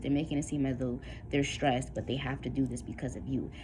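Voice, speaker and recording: The speech comes very fast in a flat monotone, with vocal fry and audible room echo. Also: woman. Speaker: tarot reader. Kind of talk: tarot reading.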